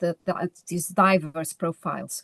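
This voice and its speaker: A woman with a Portuguese accent, medium pitch, a moderate pace and a dry, close sound with no echo. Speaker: lecturer. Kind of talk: conference presentation. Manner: halting, with self-corrections.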